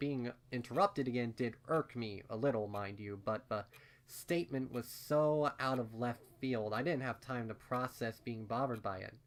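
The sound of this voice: A man speaks at a moderate pace. His pitch sits in the medium range, with ordinary variation.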